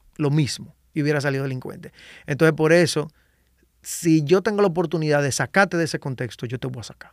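A man talks at a very fast pace with a Dominican accent and a fairly high pitch. His pitch varies in an ordinary way, his loudness swings widely, and the recording is very clean with a silent background. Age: 30s. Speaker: salsa singer and composer. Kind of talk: casual interview chat. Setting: podcast studio.

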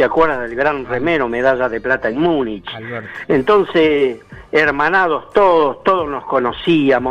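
Music plays in the background as a man talks at a fairly slow pace. His pitch is fairly high, with ordinary variation. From Argentina, Chubut (Patagonia). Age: 70s. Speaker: retired Olympic marathon runner. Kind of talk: interview. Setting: phone call.

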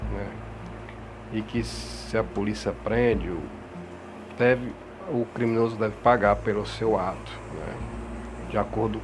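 A man at a moderate pace with long, frequent pauses, amid audible room echo and noticeable background noise. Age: 40s. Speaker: religious podcast host. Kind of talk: religious monologue. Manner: halting, many fillers.

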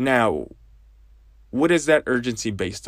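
This very clean recording has a silent background. A man speaks at medium pitch and a moderate pace, with ordinary pitch variation. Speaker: podcast host. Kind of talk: casual solo monologue. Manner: hesitant, many fillers.

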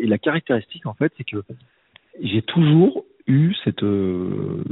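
Intonation is lively as a man of medium pitch speaks at a very slow pace. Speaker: teacher, podcaster and coach. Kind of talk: casual interview conversation. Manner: hesitant, many fillers and restarts.

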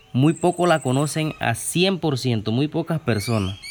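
A man talks at a fairly slow pace with ordinary pitch variation over noticeable background noise. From Chiriquí, Panama. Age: young. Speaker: farmer. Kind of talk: interview. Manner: halting.

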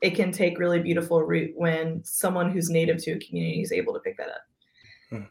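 A woman's fairly low voice, flat and monotone, with vocal fry. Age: 30s. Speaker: pastor. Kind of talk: casual interview conversation.

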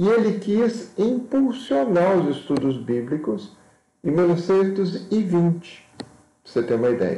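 With audible room echo, a man speaks very slowly at a high pitch, his voice swinging very widely in pitch. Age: 50s. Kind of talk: lecture. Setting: live video stream. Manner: halting.

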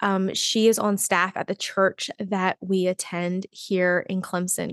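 The intonation is monotone and flat. The sound is dry and close, with no echo. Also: woman. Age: 30s. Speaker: podcast host. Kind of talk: personal solo podcast talk.

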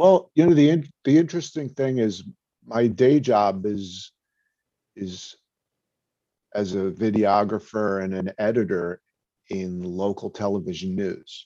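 With a New York accent, a man speaks at a fairly slow pace with a fairly low pitch, a dark, mellow tone and lively intonation. Long, frequent pauses break up his speech over a quiet background. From New York (Brooklyn). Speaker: video content creator. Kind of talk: casual chat.

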